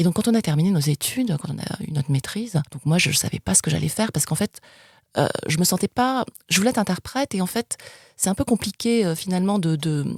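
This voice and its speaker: In a very clean recording with a silent background, a woman talks very fast at a medium pitch, somewhat breathy, with lively intonation. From France, of Spanish descent. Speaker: international TV sales executive. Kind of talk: interview. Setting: podcast interview. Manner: hesitant, many fillers.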